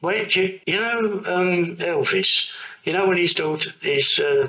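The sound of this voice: The tone is bright and sharp, with ordinary pitch variation at a fairly slow pace. Room echo is audible. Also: man, high pitch for a man.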